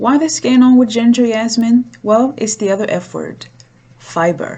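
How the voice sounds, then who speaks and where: Speaking in a non-native accent, a woman uses a fairly high pitch and ordinary pitch variation. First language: not English. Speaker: cooking show host. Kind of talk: cooking tutorial.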